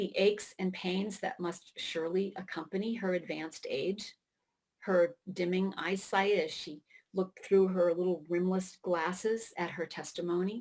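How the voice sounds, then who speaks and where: Her intonation stays flat and monotone. This woman's pitch sits in the middle range. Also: moderate pace. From Maine, US. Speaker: writer. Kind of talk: keynote speech.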